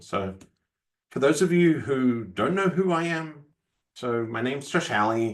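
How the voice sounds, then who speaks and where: A man speaks at a moderate pace, his pitch swinging very widely. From Australia. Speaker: software architect. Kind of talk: technical presentation. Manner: hesitant, with fillers and repeated words.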